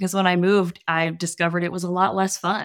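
A woman in a normal speaking voice, fairly low in pitch and at a fairly quick pace, on a very clean recording with a silent background. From US South, New Orleans. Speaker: copywriter and comedian. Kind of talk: casual chat.

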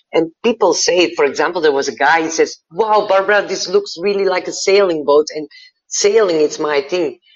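A woman with a Dutch accent, medium pitch, moderate pace and ordinary pitch variation. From Belgium. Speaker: happiness coach and tattoo artist. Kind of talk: interview conversation.

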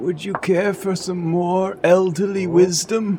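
There is clear background noise as a man speaks at a fairly slow pace, high in pitch, with monotone, flat intonation. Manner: grandfatherly lecturing.

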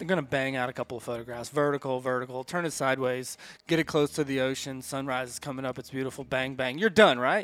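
This man speaks at a very fast pace with an American accent. His pitch is medium, with ordinary pitch variation. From US South, Atlanta, Georgia. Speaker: photographer, photography business co-owner. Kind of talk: casual podcast interview. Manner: animated, storytelling with hesitations.

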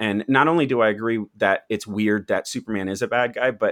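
Over a very clean recording with a silent background and a dry, close sound with no echo, a man of medium pitch speaks at a moderate pace in an ordinary speaking voice. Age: 30s. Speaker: YouTube content creator. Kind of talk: casual chat.

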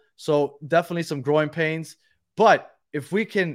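The recording is very clean, with a silent background. A man talks at a fairly high pitch with ordinary pitch variation. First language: Spanish. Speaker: podcast host. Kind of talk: casual chat. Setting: live stream.

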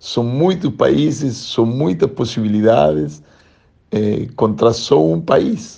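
A man with a Spanish accent speaks very slowly in a dark, mellow tone at a medium pitch, his pitch swinging very widely. Room echo is audible. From Argentina, Buenos Aires. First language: Spanish (speaking Portuguese). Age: 50s. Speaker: volleyball coach. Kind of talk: interview. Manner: halting.

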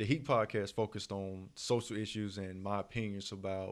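This is a normal speaking voice, a man's at a fairly low pitch. His intonation is fairly even, on a very clean recording with a silent background. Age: 30s. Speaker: podcast host. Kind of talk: casual chat.

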